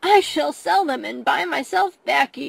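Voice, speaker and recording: Pitched high, a woman speaks in a put-on character voice. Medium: read story. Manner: gloating, chuckling.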